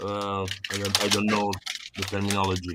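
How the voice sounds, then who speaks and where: Fairly low in pitch, a man talks with a non-native accent. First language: not English. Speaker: vintage computer repair hobbyist. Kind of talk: casual chat. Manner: halting, many fillers.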